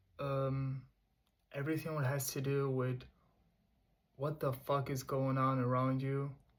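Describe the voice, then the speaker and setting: A man speaks at a medium pitch. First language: not English. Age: 20s. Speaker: vlogger. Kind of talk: casual monologue to camera. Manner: halting.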